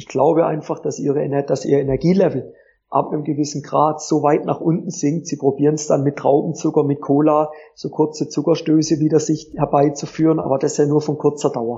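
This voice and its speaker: A somewhat breathy man's voice, fairly high in pitch and fairly quick in pace, with monotone, flat intonation. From southwestern Germany (Pforzheim area, Baden). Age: 30s. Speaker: tennis coach. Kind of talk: interview. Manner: hesitant fillers (äh).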